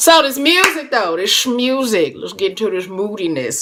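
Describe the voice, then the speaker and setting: Speaking at a moderate pace, a woman sounds animated, with very wide pitch swings. Noticeable background noise runs underneath. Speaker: music producer and live streamer. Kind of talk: casual live stream chat.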